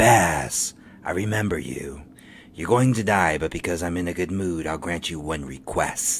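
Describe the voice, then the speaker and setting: A man speaks at a moderate pace. His pitch is very deep and low. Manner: menacing then flustered.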